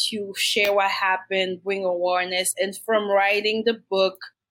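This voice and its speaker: A woman speaks with a Haitian accent. Her pace is fairly slow. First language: Haitian Creole or French. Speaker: domestic violence survivor and nonprofit founder. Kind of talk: podcast interview, personal testimony. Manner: hesitant, many fillers.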